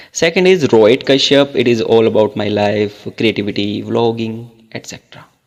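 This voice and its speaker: An unremarkable speaking voice from a man at medium pitch and moderate pace, with ordinary pitch variation and big swings in loudness. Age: 20s. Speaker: English tutor, YouTuber. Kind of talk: casual chat. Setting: phone call.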